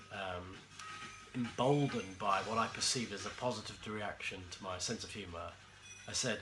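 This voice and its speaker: With music in the background and audible room echo, a man speaks at a moderate pace with ordinary pitch variation and long, frequent pauses. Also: fairly low pitch for a man. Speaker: former music TV interviewer, storyteller. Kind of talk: comedic anecdote monologue. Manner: hesitant, many fillers.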